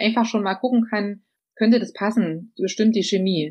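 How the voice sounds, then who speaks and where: Fairly high in pitch, a woman talks at a moderate pace with fairly even intonation. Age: 40s. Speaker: social project manager. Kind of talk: interview. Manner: hesitant, many fillers.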